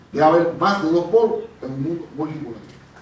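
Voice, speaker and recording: Over noticeable background noise and audible room echo, a man talks in a fairly high pitch. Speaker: panel moderator and researcher. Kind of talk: conference presentation. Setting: conference panel with audience.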